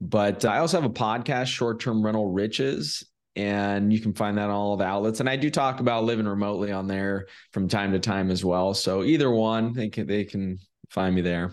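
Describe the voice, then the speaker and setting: A man with an American accent talks at a fairly quick pace in a fairly low pitch, using an ordinary speaking voice. His pitch varies in an ordinary way over a quiet background. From California. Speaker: short-term rental investor. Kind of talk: interview.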